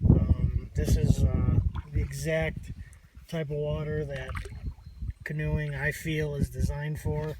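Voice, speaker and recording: Noticeable background noise surrounds a man's voice. He talks at a very slow pace with long, frequent pauses. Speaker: outdoor vlogger. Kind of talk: casual vlog narration. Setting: outdoors in a canoe on a creek. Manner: loud; hesitant, many fillers.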